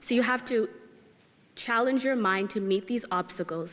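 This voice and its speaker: In a Canadian accent, a woman with a normal speaking voice talks at a moderate pace with fairly even intonation. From Canada (Nova Scotia). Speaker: recent university graduate. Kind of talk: graduation speech.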